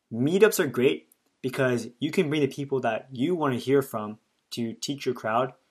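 At a fairly quick pace, a man speaks with a plain, everyday voice at a medium pitch. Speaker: podcast host. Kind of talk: interview.

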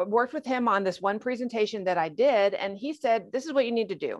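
An unremarkable speaking voice from a woman, fairly high in pitch, with lively intonation over a quiet background. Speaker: retired federal agent. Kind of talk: interview.

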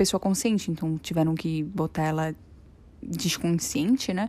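A woman speaks at a moderate pace in a dark, mellow tone with fairly even intonation, on a very clean recording with a silent background. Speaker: podcaster. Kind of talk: personal testimony. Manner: halting.

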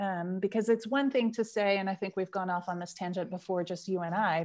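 Set against a quiet background, a woman with a plain, everyday voice and an American accent speaks at medium pitch with fairly even intonation. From United States. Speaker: researcher and change consultant. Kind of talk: interview chat. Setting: video call.

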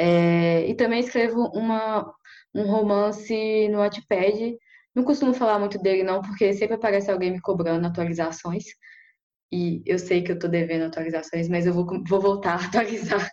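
A woman with an unremarkable speaking voice talks at a moderate pace. Her pitch is medium, with ordinary pitch variation. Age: 20s. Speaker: writer. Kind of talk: casual chat.

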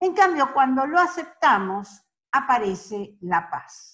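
A bright, sharp female voice, very slow, with very wide pitch swings. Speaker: life coach. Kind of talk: live-streamed talk. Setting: live stream on social media.

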